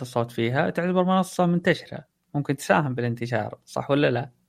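Over a quiet background, a man talks at a moderate pace. He has lively intonation and an unremarkable speaking voice. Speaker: podcaster. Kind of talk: casual chat.

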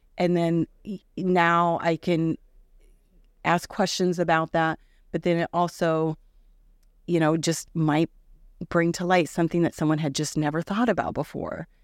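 In a Midwestern American accent, a woman speaks at a fairly slow pace with monotone, flat intonation and long, frequent pauses, the sound dry and close with no echo. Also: fairly low pitch for a woman, very clean recording, silent background. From Iowa (Indianola). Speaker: artist and mentor. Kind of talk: interview.

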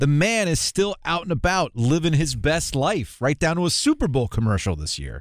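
Speaking at a moderate pace with hardly any pauses, a man with a plain, everyday voice has a fairly high pitch. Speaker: podcast host. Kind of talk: casual podcast chat.

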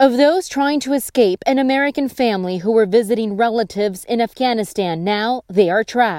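In an ordinary speaking voice, a woman talks at a fairly quick pace with fairly high pitch, lively intonation, and hardly any pauses. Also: dry, close sound with no echo. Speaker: podcast news host. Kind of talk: scripted news reading. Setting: studio.

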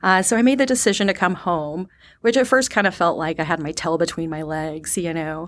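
A woman with a plain, everyday voice speaks at a fairly quick pace, her pitch fairly low and her intonation lively. The recording is very clean, with a silent background. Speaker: sales development representative. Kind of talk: interview.

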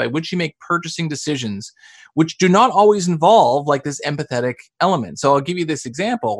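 With a Canadian accent, the voice swings very widely in pitch at a fairly quick pace, in a dry, close sound with no echo. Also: man. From Canada. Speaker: sales author and trainer. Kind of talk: podcast interview.

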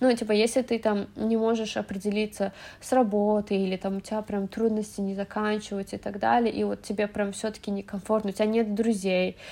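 Her tone dark and mellow, a woman talks at a fairly quick pace with monotone, flat intonation. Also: medium pitch for a woman. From Azerbaijan, Baku. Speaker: immigrant guest. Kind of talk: casual chat.

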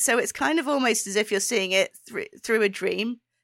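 A bright, sharp tone in a British accent, very wide pitch swings, a moderate pace, and a dry, close sound with no echo on a very clean recording with a silent background. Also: woman. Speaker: podcast co-host. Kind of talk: casual chat.

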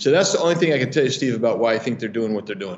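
A man talks with lively intonation. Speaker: congressman. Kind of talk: interview. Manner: halting.

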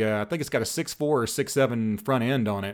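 A man's plain, everyday voice at a fairly quick pace with ordinary pitch variation, in a very clean recording with a silent background. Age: 30s. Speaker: diesel mechanic and YouTuber. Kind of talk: casual chat.

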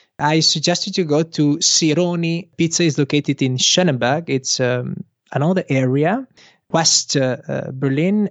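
Speaking at a moderate pace with an Italian accent, a man keeps his loudness very even, his fairly high pitch showing ordinary variation. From Italy. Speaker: Instagram consultant, local guide. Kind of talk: casual interview. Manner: halting, many fillers.

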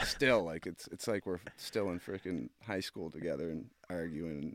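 A man with a Canadian accent and a very deep, low pitch talks at a moderate pace on a very clean recording with a silent background. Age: 20s. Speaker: pro hockey player. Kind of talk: casual chat.

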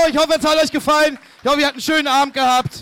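A man's raised, projected voice over noticeable background noise. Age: 30s. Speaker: comedian. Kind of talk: show closing announcement; live show chat. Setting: stage with audience.

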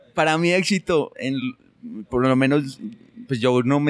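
Over noticeable background noise, a man talks at a medium pitch with ordinary pitch variation, the sound dry and close with no echo. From Colombia, rural Antioquia near Medellín. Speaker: SEO specialist. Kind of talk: interview conversation.

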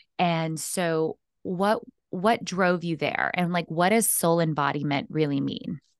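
The woman's voice sits at a fairly low pitch with ordinary pitch variation. Her pace is fairly slow. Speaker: podcast host and empowerment coach. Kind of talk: casual interview chat. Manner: animated.

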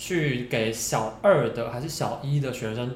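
A man talks with ordinary pitch variation. His voice carries audible room echo over noticeable background noise. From Taiwan, Hsinchu. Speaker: podcast co-host. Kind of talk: casual chat.

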